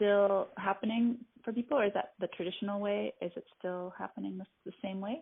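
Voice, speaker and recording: Barely pausing, a woman with a normal speaking voice talks at a fairly quick pace with ordinary pitch variation. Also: medium pitch for a woman. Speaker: community centre host. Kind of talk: interview question.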